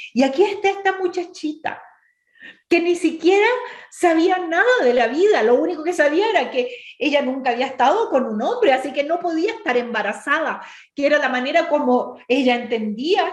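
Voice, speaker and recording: Moderately paced speech from a woman, with very wide pitch swings. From Chile, Temuco area. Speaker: women's ministry speaker. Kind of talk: bible study talk.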